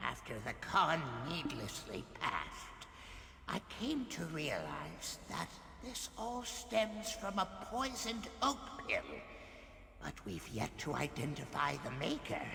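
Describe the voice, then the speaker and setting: A put-on character voice at a middle pitch moves at a fairly slow pace. Loud background noise and a clear echo surround it. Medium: video game. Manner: impatient, solemn.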